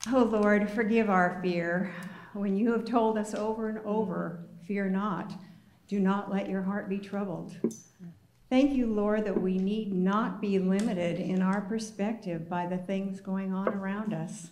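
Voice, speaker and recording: A woman speaks at a medium pitch and a fairly slow pace, her intonation monotone and flat. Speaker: prayer leader. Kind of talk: spoken prayer.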